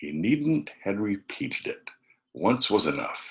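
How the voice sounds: A man talks with a low pitch and lively intonation. His tone is fairly bright, with a husky, rough edge.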